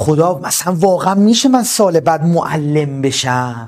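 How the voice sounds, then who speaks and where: At a very slow pace, the speaker's intonation stays lively. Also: man. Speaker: exam tutor and study counselor. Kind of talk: online class pep talk. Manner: soft-spoken, calm; slow and deliberate.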